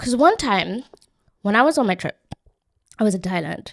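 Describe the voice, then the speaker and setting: A woman's animated tone with lively intonation. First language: not English. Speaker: podcast host. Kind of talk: casual solo podcast storytelling.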